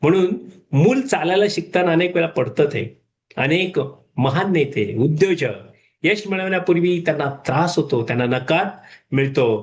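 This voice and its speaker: A man speaks at a fairly high pitch with lively intonation. His voice is somewhat breathy. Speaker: retired management professor, motivational speaker. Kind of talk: motivational talk. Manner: casual, code-switching with English and Hindi.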